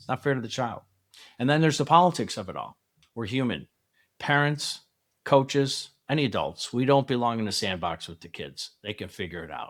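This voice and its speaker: A man with medium pitch and vocal fry speaks fairly quickly with lively intonation and big swings in loudness. The recording is very clean, with a silent background. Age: 60s. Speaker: youth softball coach, podcast host. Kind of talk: solo podcast talk to parents. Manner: conversational, reflective.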